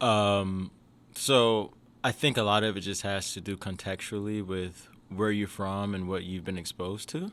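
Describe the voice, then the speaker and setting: A man with an American accent and an unremarkable speaking voice talks at a moderate pace with a fairly low pitch and fairly even intonation. The recording is very clean, with a silent background. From US South, Jackson, Mississippi. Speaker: education entrepreneur, CEO. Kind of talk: podcast interview. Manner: casual, with fillers and restarts.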